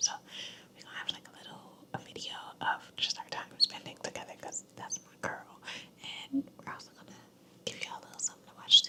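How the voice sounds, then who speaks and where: Whispering at a very fast pace, a woman leaves long, frequent pauses, with big swings in loudness and noticeable background noise. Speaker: ASMR creator. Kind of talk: casual talk to camera. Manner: whispered, soft-spoken.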